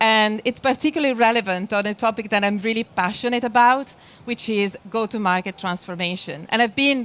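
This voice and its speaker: Talking at a fairly quick pace, a woman speaks with an Italian accent and a fairly high pitch. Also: ordinary pitch variation. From Italy. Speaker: sales strategy speaker. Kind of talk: conference presentation. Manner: frequent filler hesitations.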